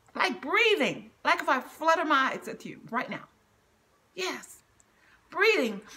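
Raised and projected, a woman's bright, sharp voice sits extremely high, swinging very widely in pitch and greatly in loudness at a fairly slow pace with long, frequent pauses. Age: 60s. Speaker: cancer survivor and motivational speaker. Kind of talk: devotional sermon-style talk with scripture reading. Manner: earnest, preachy, conversational. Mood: earnest, preaching. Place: home room. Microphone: phone near.

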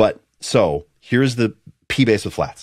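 Against a quiet background, a man speaks at a fairly slow pace. He has a medium pitch and an American accent. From United States. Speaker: bass player and podcast host; podcast host. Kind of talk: casual chat. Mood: enthusiastic, animated. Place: home room.

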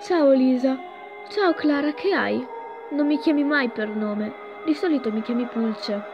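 Music plays behind a woman who speaks very slowly in a high pitch. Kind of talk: reading a self-written horror chat story.

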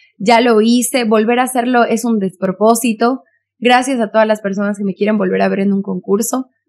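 A woman's monotone, flat delivery at a fairly quick pace. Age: 20s. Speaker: beauty pageant contestant and activist; podcast guest. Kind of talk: casual chat. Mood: earnest, indignant on violence. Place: studio. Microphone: studio mic.

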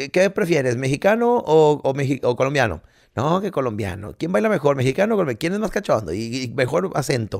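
With very wide swings in pitch, a man talks at a fairly quick clip against a quiet background. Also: fairly high pitch for a man. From Mexico. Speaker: podcast co-host, comedian. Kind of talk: casual chat. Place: home room. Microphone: studio mic.

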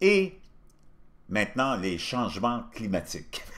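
His pitch makes very wide swings. The voice belongs to a man. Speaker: commentary show host. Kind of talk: commentary.

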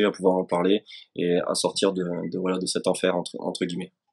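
Against a quiet background, a man speaks at a fairly low pitch and a moderate pace. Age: 30s. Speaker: soldier, wounded veteran; guest. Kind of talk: testimony. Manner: halting, many repetitions. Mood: earnest, hesitant, emotional topic. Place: home room. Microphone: video call.

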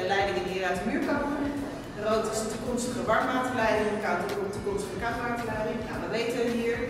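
Amid noticeable background noise and strong room echo, a woman speaks at a fairly quick pace. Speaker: buyer coach for a housing project. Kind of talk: site tour explanation. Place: factory.

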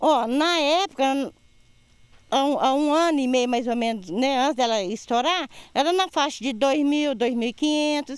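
A woman's high voice at a fairly slow pace, with very even loudness and ordinary pitch variation. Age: 60s. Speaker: affected resident. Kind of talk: interview testimony.

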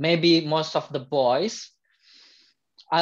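His intonation fairly even, a man talks at a fairly high pitch.

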